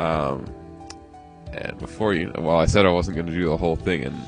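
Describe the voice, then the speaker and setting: With music in the background, a man with a very deep, low voice talks at a fairly quick pace and with ordinary pitch variation. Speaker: pixel art tutorial creator. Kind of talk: screen-recorded tutorial narration. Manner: casual, chatty.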